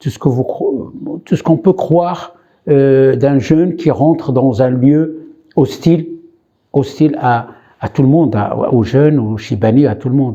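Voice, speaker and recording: A man's dark, mellow voice at a fairly slow pace, broken by long, frequent pauses. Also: ordinary pitch variation. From Morocco (Khouribga). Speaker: immigrant rights activist. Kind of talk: interview testimony. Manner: hesitant, many fillers.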